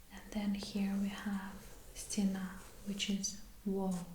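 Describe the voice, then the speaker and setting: Someone whispers, soft-spoken, at a very slow pace. Noticeable background noise is present. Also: woman. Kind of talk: ASMR sketchbook explanation, casual talk to camera. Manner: soft-spoken, whispery.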